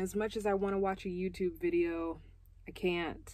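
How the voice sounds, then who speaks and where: A woman talking at a fairly slow pace, the sound dry with no echo. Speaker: van life vlogger. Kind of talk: casual vlog chat. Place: car. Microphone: phone near.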